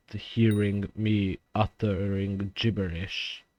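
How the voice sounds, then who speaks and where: A man with a non-native accent speaks at a fairly low pitch. The sound is dry and close with no echo, and the background is quiet. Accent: noticeable non-native. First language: not English (English is third language). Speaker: gaming YouTuber. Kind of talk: gameplay commentary. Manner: deliberately slower, consistent volume; halting, many fillers.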